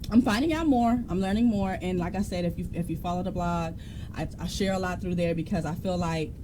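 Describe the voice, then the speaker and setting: Fairly quick speech from a woman, with audible room echo. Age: 30s. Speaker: podcast co-host. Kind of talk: casual chat.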